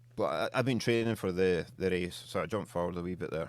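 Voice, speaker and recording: A man's very deep, low voice with a slight Scottish accent, at a very fast pace with ordinary pitch variation, in a very clean recording with a silent background. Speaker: beard oil company co-founder. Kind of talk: podcast interview. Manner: casual.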